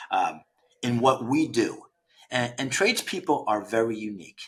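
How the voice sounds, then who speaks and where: At a moderate pace, a man talks with ordinary pitch variation. His is a plain, everyday voice, pitched at a medium level. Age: 60s. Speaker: founder of a trades recruiting platform. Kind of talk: podcast interview. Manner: conversational, with frequent repetitions and fillers.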